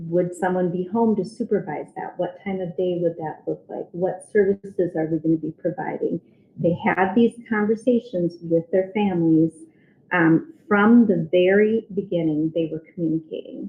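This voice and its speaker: A woman at a medium pitch and moderate pace, with ordinary pitch variation. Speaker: special education administrator. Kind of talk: presentation to school board. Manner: halting with frequent ums.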